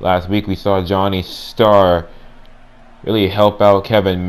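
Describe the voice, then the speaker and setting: A man's very deep, low voice in a flat monotone. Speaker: gaming channel creator voicing wrestling commentary. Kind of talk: mock ring announcer and play-by-play wrestling commentary. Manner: booming showman delivery with repeated ladies and gentlemen; hype-building, speculative play-by-play patter.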